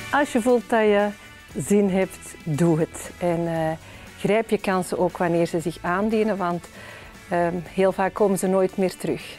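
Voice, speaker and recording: A woman at a very slow pace over faint music in the background. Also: ordinary pitch variation. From Flanders, Belgium. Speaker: politician, member of the Flemish Parliament. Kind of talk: interview answer. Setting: parliament interview video. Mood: warm, smiling, encouraging. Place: hall. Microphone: lapel.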